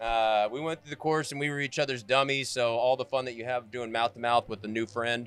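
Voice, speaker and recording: A man with an American accent talks at a fairly quick pace with hardly any pauses, in a normal speaking voice. His pitch is medium and his intonation fairly even. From Florida, Fort Myers area. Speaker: podcast host. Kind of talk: casual interview chat. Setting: live at motorcycle festival, in a trailer.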